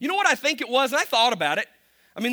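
A man with a Kentucky accent speaks in a raised, projected voice with a bright, sharp, animated tone. His pitch swings very widely. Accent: Kentucky Southern US, noticeable. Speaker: pastor. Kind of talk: sermon. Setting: church with audience. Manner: humorous, self-deprecating, animated.

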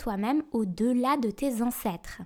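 The woman's voice has a calm tone that is dark and mellow. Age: 30s. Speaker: astrology podcast host. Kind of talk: scripted narration. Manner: calm, intimate.

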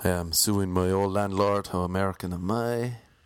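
A man with an Irish accent speaks at a fairly low pitch and with fairly even intonation. The sound is dry and close, with no echo. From Ireland. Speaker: stand-up comedian. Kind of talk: casual solo monologue. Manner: mumbles, speaks quietly.

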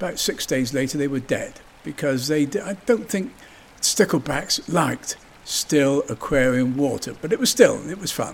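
Fairly high in pitch, this man's voice stands out. He speaks with a West Country accent. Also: lively intonation, moderate pace. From southwest England, Somerset (Yeovil). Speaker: local resident reminiscing. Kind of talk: personal reminiscence.

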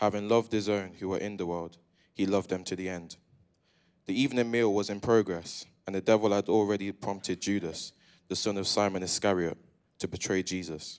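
A man with an unremarkable speaking voice talks at a fairly quick pace in a fairly low pitch, his intonation fairly even, on a very clean recording with a silent background. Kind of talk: reading scripture aloud. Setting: church.

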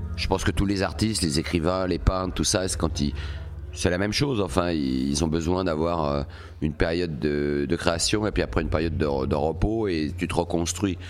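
A man with a very deep, low pitch talks at a moderate pace and ordinary pitch variation while noticeable background noise continues behind him. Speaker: punk singer. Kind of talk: casual chat. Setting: venue after a concert.

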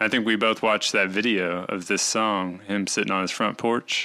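Speaking with a Southern US accent, a man delivers his words in a monotone, flat intonation at a fairly low pitch with hardly any pauses on a very clean recording with a silent background. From Arkansas, US South. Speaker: podcast host. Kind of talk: casual chat.

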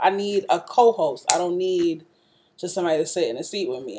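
In a New York accent, a woman speaks at a fairly quick pace. Her voice has a dark, mellow tone and a fairly low pitch. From Brooklyn, New York (East New York). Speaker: radio host. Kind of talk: casual chat. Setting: laptop recording, makeshift setup.

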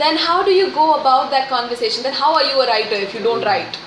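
The voice moves at a fairly quick pace with very wide pitch swings. Room echo is audible, along with noticeable background noise. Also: woman. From India, Pune. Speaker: children's writer. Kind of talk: interview.

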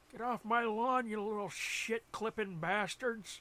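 In a put-on character voice, a man talks in a raised, projected way at a high pitch and a fairly slow pace. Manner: angry, yelling at trespassers.

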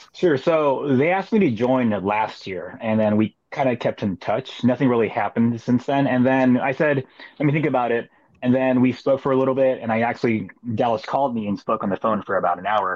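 This man has an ordinary speaking voice, talking fairly quickly at a medium pitch with ordinary pitch variation. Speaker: touring musician. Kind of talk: casual chat.

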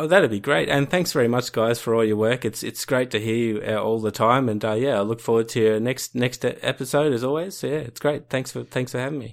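In an Australian accent, a man of medium pitch talks very fast with hardly any pauses and ordinary pitch variation. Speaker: listener and instructional video maker. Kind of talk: casual chat. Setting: video call.

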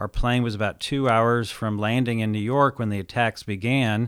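Here a man has an unremarkable speaking voice at medium pitch, moving at a moderate pace with fairly even intonation in a very clean recording over a silent background. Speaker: entrepreneur and author. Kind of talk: interview.

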